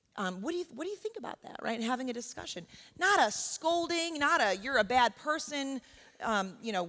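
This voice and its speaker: A woman with an American accent talks at a fairly quick pace, her pitch swinging very widely. The recording is very clean, with a silent background. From New York. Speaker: professor. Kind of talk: workshop talk. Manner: loud; conversational, with frequent fillers.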